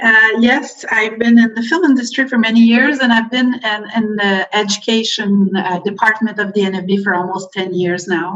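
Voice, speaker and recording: In a French accent, a woman with a fairly high pitch speaks at a moderate pace with ordinary pitch variation. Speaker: film board education representative. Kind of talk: workshop presentation. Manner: halting, many fillers.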